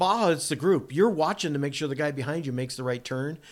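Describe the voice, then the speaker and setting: This man has an unremarkable speaking voice with an American accent. He speaks at a fairly high pitch with lively intonation, on a very clean recording with a silent background. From Massachusetts. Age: 60s. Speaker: off-road racing driver and builder. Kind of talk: casual interview storytelling. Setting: in a home kitchen.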